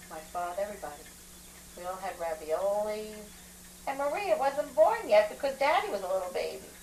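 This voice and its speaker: A medium-pitched woman at a fairly quick pace, with long, frequent pauses, very wide pitch swings and big swings in loudness over noticeable background noise. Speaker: grandmother recalling family history. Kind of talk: casual family conversation.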